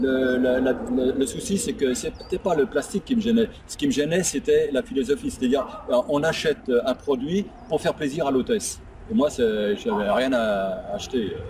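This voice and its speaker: Against noticeable background noise, a man with a fairly high pitch talks at a moderate pace with very wide pitch swings. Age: 70s. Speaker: retired taxi driver, network marketer. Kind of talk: testimony interview. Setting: outdoors by a lake. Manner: quiet.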